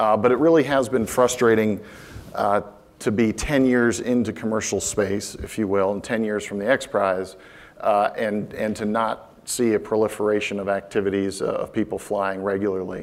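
A man with an American accent speaks at a moderate pace in a fairly low voice. His intonation stays fairly even. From Florida. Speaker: space industry executive; conference speaker. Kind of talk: conference talk. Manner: halting, many fillers. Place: stage. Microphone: lapel.

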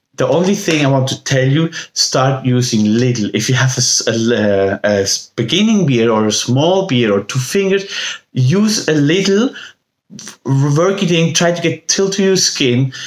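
A man speaks at a fairly slow pace with very wide pitch swings and very even loudness. There is audible room echo over a quiet background. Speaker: beard balm maker and seller. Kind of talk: infomercial pitch. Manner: animated, salesy, hyperbolic; halting, filler-heavy. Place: home room. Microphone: phone near.

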